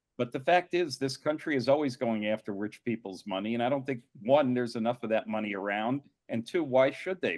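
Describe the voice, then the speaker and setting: A man's unremarkable speaking voice, medium in pitch with ordinary pitch variation, at a moderate pace, in a dry, close sound with no echo. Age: 60s. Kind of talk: panel discussion.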